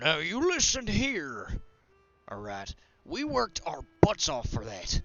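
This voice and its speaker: Faint music plays as a man in a put-on character voice speaks at a high pitch and a fairly slow pace, with long, frequent pauses. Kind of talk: rough, blunt. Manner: indignant, confrontational.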